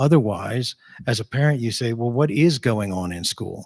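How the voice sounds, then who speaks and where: Against a silent background in a very clean recording, a man with an unremarkable speaking voice talks fairly quickly at medium pitch. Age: 60s. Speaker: school board candidate. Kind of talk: candidate forum answer.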